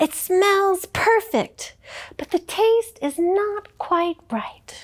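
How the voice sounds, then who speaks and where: Putting on a character voice, a woman speaks very slowly at an extremely high pitch. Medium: read story. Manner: theatrical, self-important.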